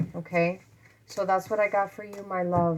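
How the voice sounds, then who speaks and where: At a moderate pace, a woman talks with a fairly low pitch and fairly even intonation. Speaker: tarot reader. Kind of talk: tarot reading for viewers. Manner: quiet, talking low.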